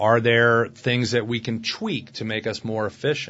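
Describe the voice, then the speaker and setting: A man with a Southern US accent talks at a moderate pace with a medium pitch. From US South, Alabama (Opelika). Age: 30s. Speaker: family law attorney. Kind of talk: casual interview. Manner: jovial.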